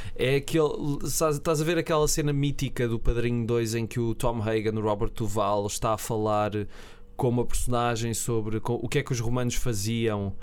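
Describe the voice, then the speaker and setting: A man speaks at a moderate pace with a European Portuguese accent. His pitch is medium, with ordinary pitch variation. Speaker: film podcast co-host. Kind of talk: casual chat.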